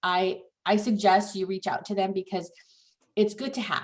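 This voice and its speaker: At a moderate pace, a woman talks with a medium pitch in an ordinary speaking voice. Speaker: escrow officer. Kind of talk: training class.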